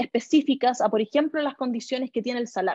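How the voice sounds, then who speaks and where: A woman's high-pitched voice in a Chilean accent, dark and mellow in tone, with fairly even intonation and a dry, close sound with no echo. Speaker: government official. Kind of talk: interview answer. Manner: hesitant, many fillers.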